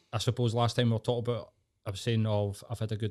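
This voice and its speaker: In a Glasgow accent, a man talks very fast at a medium pitch with monotone, flat intonation, on a very clean recording with a silent background. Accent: Scottish (Glasgow area). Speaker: podcast guest. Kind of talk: casual chat.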